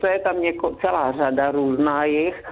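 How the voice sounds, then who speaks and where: There's noticeable background noise as a woman speaks in a very deep, low pitch. She keeps a fairly slow pace. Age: 70s. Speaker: grandmother, radio guest. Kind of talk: phone interview. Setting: phone call.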